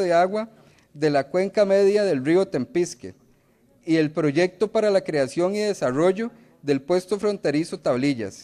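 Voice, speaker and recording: A man at a moderate pace, high pitch, ordinary pitch variation, dark, mellow tone. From Costa Rica, Limón province. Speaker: legislator. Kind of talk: parliamentary speech. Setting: legislative chamber. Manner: formal. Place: hall. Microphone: podium.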